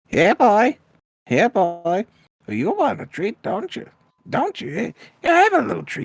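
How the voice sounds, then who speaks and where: A put-on character voice, fairly high in pitch, moves at a fairly slow pace. Long pauses come often. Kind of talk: baby-talk to an animal. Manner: cooing, coaxing.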